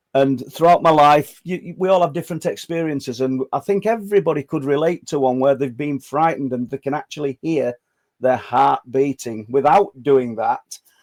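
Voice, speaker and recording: A man's fairly high voice in a northern English accent, with ordinary pitch variation, a moderate pace and a dry, close sound with no echo. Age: 60s. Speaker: podcast host. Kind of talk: interview. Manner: halting, stammering.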